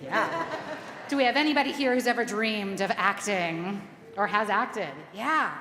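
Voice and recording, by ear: Someone reads aloud with a natural-sounding voice.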